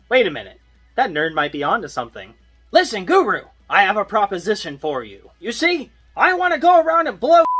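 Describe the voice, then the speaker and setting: Faint music plays in the background as a man does a put-on character voice at a high pitch. He moves at a fairly quick pace, with very wide pitch swings and big swings in loudness. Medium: solo performance. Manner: loud, profane, boisterous.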